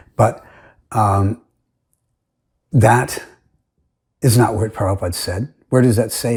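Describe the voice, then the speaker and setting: A somewhat breathy male voice at a medium pitch with ordinary pitch variation, on a very clean recording with a silent background. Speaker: religious commentator. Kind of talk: recorded presentation. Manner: halting.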